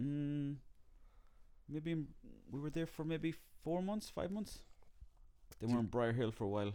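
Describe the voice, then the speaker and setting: With an Irish accent and a dark, mellow tone, a man speaks at a moderate pace and fairly high pitch, his intonation lively and his pauses long and frequent. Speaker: comedian and actor. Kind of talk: casual chat.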